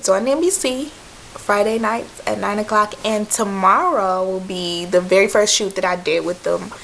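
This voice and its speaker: A woman speaks with an American accent at a medium pitch. Noticeable background noise runs under her voice. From Michigan. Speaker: background extra. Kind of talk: casual talk to camera. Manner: rambling, chatty.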